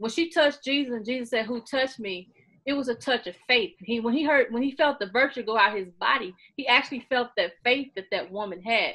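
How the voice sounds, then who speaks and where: A loud woman's voice in an American accent, high-pitched and bright, sharp in tone, animated, at a fairly quick pace against a quiet background. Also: ordinary pitch variation. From Missouri, US (Sikeston). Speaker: author and beauty YouTuber. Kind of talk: interview.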